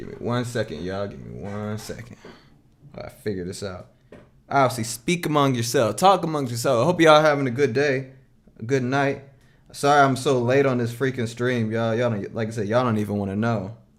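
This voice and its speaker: Here a man with an unremarkable speaking voice talks at a fairly quick pace and medium pitch, using ordinary pitch variation and big swings in loudness. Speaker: music producer streamer. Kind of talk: casual live stream chat. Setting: live stream.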